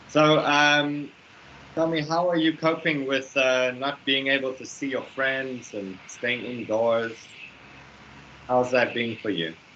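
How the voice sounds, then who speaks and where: With ordinary pitch variation, a man delivers his words at a very slow pace against noticeable background noise. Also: medium pitch for a man. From South Africa. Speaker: English teacher. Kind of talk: online English lesson. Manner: animated.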